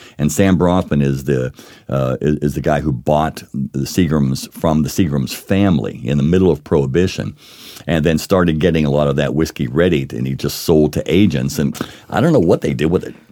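Speaking at a fairly quick pace with an American accent, a man has a very deep, low pitch and ordinary pitch variation, with noticeable background noise. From Pittsburgh, US. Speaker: whiskey author and educator. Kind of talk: casual interview, tasting and explaining. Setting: studio tasting with drinks. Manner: storyteller, explanatory.

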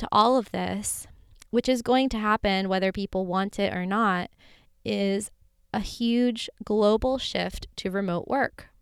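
A woman with an American accent speaks at a medium pitch and a fairly slow pace, with ordinary pitch variation. The sound is dry and close, with no echo. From US South, Florida. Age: 30s. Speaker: podcast host. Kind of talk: solo monologue.

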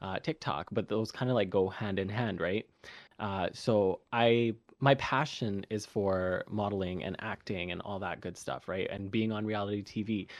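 A man talks in an unremarkable speaking voice, fairly low in pitch. His pace is moderate and his pitch variation ordinary. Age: 20s. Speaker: content creator. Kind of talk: casual chat.

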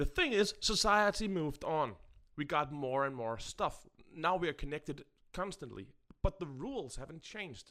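A man with a Danish accent, fairly high in pitch, bright and sharp in tone, with lively intonation at a moderate pace. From Denmark. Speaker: podcast co-host. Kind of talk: casual chat.

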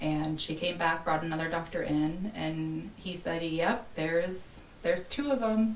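With hardly any pauses, a woman talks at a fairly slow pace in a fairly low voice with ordinary pitch variation, over noticeable background noise and audible room echo. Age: 30s. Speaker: podcast guest. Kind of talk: personal testimony.

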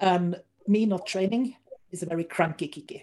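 A woman with a Norwegian accent speaks at a medium pitch in a dark, mellow tone, with ordinary pitch variation. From Norway. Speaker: strongman athlete and competition organizer. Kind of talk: interview.

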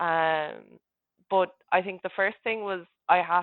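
Her pitch sits fairly low for a woman. Her intonation stays fairly even. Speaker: fitness coaching client. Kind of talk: casual interview. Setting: video call.

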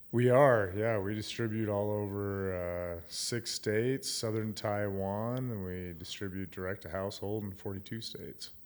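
Speaking with an American accent, a man with an unremarkable speaking voice and a fairly low pitch talks at a moderate pace with hardly any pauses and fairly even intonation, in a very clean recording with a silent background. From Wyoming, US (Gillette). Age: 30s. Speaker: meadery founder. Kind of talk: casual chat. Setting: his meadery.

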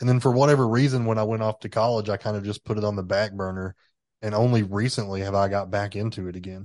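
A man with a Southern accent talks very fast at a fairly low pitch, his intonation fairly even, over a quiet background. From Tennessee. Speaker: podcast host. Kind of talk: casual chat.

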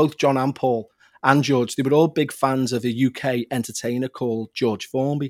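A man with a Liverpool accent, medium in pitch, fairly even in intonation, at a moderate pace, on a very clean recording with a silent background and a dry, close sound with no echo. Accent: Liverpool (Scouse). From Liverpool, England. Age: 40s. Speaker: podcast host and paranormal investigator. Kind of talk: casual interview, storytelling.

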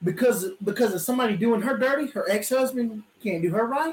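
In a Southern US accent, a man talks at a moderate pace with a high pitch, an animated tone and lively intonation. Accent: Southern US (Georgia). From US South, South Georgia. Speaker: podcast co-host. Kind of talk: casual chat.

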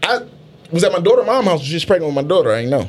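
Through noticeable background noise, a high-pitched man with an American accent talks at a very fast pace with lively intonation. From Philadelphia. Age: 30s. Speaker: podcast co-host. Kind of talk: casual chat. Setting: studio.

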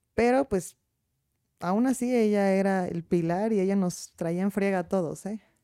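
The voice has a dark, mellow tone and a Mexican accent. It moves at a fairly slow pace with ordinary pitch variation. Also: woman, medium pitch for a woman. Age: 20s. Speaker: lawyer. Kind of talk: casual interview.

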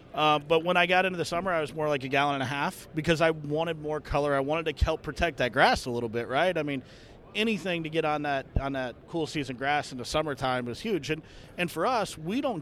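A man with a fairly high pitch, ordinary pitch variation and a very fast pace. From southwest Florida. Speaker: golf course superintendent. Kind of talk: casual chat. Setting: trade show booth.

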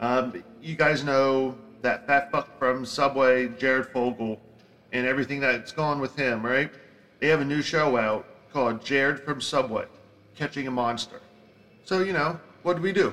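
A man with a Philadelphia accent speaks at a medium pitch and moderate pace, leaving long, frequent pauses. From Philadelphia, South Philly. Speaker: podcast host. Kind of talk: solo podcast rant. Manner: animated.

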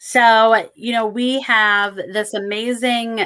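With an American accent, a woman speaks in a fairly high pitch and a bright, sharp tone. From Michigan. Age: 50s. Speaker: psychic medium. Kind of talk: casual chat.

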